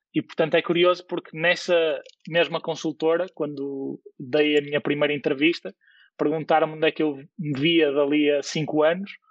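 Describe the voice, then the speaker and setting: Using an unremarkable speaking voice, a man talks at a moderate pace with a fairly high pitch and fairly even intonation. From Portugal, Porto. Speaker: tech startup CEO. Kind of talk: podcast interview.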